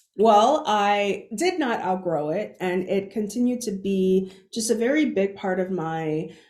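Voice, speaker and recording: The speech comes at a fairly slow pace with ordinary pitch variation. Room echo is audible. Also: woman, medium pitch for a woman. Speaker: keynote speaker. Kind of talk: conference keynote talk. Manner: halting, frequent sound repetitions.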